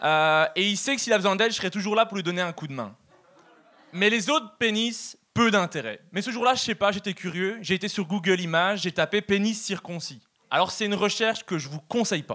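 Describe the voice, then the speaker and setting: A man with a Belgian accent speaks at a fairly quick pace in a raised, projected voice that sits high for a man, with a bright, sharp tone and ordinary pitch variation. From Belgium. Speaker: stand-up comedian. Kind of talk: stand-up. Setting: stage with audience.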